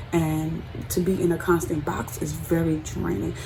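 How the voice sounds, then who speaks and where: With lively intonation, a woman speaks in a fairly low pitch amid noticeable background noise and audible room echo. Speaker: beauty vlogger. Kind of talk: personal vlog monologue.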